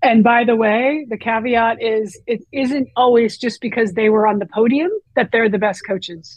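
An ordinary speaking voice from a woman, with ordinary pitch variation at a moderate pace. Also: fairly high pitch for a woman. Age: 50s. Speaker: author and youth sports coach. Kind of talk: interview conversation.

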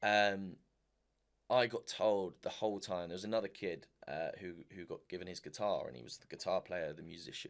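At a moderate pace, a man with a fairly low pitch talks in an ordinary speaking voice, showing ordinary pitch variation and big swings in loudness. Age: 20s. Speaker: singer and racing driver. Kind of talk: casual interview.

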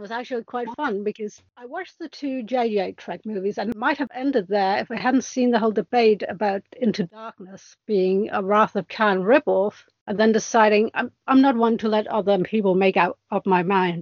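A woman with a normal speaking voice talks at a moderate pace, her pitch fairly high. Her pitch varies in an ordinary way, and there are hardly any pauses. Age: 40s. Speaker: podcast guest, fan. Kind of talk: casual chat.

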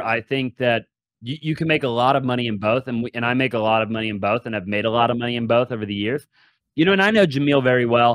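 A man with an ordinary speaking voice talks at a medium pitch with ordinary pitch variation, recorded dry and close with no echo. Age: 20s. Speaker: real estate entrepreneur. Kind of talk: casual interview.

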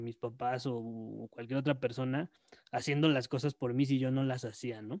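A man talks at a moderate pace and a medium pitch. The sound is dry and close with no echo, over a quiet background. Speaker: podcast host. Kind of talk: casual chat.

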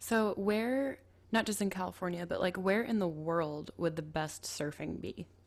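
With an American accent, a woman has an ordinary speaking voice at a medium pitch, with ordinary pitch variation and a moderate pace. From Minnesota, Twin Cities. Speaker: podcast host. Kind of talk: scripted narration; casual chat.

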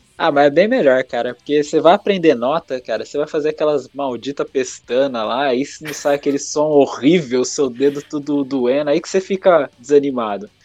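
In a plain, everyday voice, a man with a fairly high pitch speaks at a moderate pace with ordinary pitch variation and hardly any pauses. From interior of São Paulo, Brazil. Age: 30s. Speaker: music page creator and podcaster. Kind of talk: casual chat interview.

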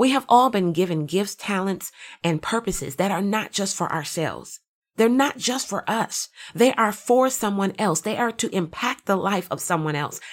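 The recording is very clean with a silent background, and a woman speaks in an ordinary speaking voice. Her medium pitch carries lively intonation at a moderate pace. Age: 40s. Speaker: motivational podcast host. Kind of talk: motivational monologue.

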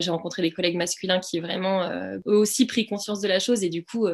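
A woman's medium-pitched voice at a fairly quick pace, with fairly even intonation and noticeable background noise. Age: 30s. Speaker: primary school teacher and podcast co-founder. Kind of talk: casual interview. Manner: hesitant, many fillers.

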